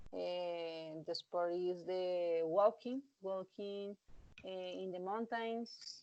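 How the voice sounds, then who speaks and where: In a Colombian accent, a woman speaks very slowly at a medium pitch, her tone dark and mellow, with ordinary pitch variation. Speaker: English student. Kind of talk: speaking exam practice. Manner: halting, many fillers.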